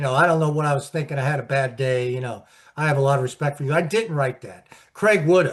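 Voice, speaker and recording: Somewhat breathy and fairly high-pitched, a man talks at a very fast pace against a quiet background. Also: ordinary pitch variation. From Pittsburgh, US. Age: 60s. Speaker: sports journalist and author. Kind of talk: interview. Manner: halting, repetitive.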